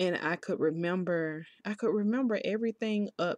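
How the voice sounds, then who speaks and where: A woman's unremarkable speaking voice at a moderate pace, ordinary pitch variation, dry and close with no echo, over a quiet background. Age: 30s. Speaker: solo podcaster. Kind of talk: personal testimony. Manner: casual, conversational.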